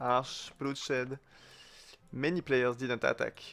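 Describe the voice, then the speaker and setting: On a very clean recording with a silent background, a man with a non-native accent speaks at medium pitch. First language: not English. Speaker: gaming clan leader / video commentator. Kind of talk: gameplay commentary. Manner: hesitant, many fillers. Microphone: new microphone, sound slightly better.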